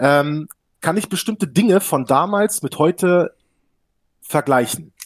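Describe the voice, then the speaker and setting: A man talks at a fairly slow pace, the sound dry and close with no echo. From Hannover region, northern Germany. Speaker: sim racing team founder. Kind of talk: casual interview. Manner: animated.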